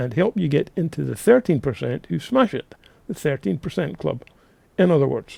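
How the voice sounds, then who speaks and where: A man with a Scottish accent has a fairly high pitch, vocal fry and a dark, mellow tone in a dry, close sound with no echo. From Scotland, Linlithgow near Edinburgh. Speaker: real estate coach, podcast host. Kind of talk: podcast monologue, coaching. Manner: casual, energetic.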